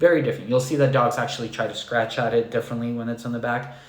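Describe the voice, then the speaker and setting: A soft-spoken, somewhat breathy man at a fairly quick pace, with monotone, flat intonation. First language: not English. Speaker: dog trainer. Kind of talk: live stream Q&A talk. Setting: live stream on computer.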